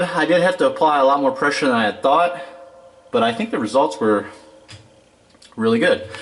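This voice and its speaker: Man at a fairly quick pace, very wide pitch swings and long, frequent pauses, with noticeable background noise. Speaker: DIY tool reviewer. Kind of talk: product review tutorial. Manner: casual with fillers; loud.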